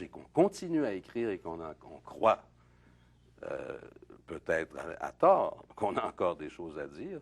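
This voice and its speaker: The speech is at a very slow pace. It comes in a Quebec accent. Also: man. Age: 60s. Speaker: playwright and poet. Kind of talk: interview. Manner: halting, many hesitations.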